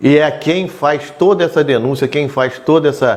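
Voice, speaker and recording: An unremarkable speaking voice. The pace is fairly slow. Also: man. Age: 60s. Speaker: local politician. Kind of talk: interview.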